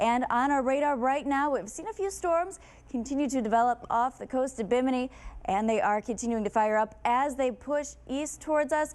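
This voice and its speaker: Ordinary pitch variation in a woman's high voice. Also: moderate pace. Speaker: TV meteorologist. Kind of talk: TV weather forecast. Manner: upbeat.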